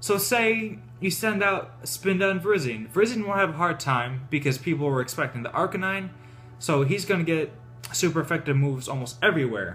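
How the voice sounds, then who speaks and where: A man talks at a fairly quick pace with a fairly high pitch. His pitch swings very widely, and music plays in the background. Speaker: gaming YouTuber. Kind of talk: gameplay strategy tutorial. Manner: fast.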